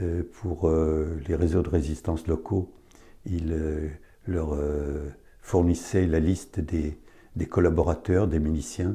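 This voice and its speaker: Delivered at a very slow pace, the voice is somewhat breathy with a dark, mellow tone and fairly even intonation. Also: man. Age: 80s+. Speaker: son of a deportee giving testimony. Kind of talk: testimony. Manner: halting.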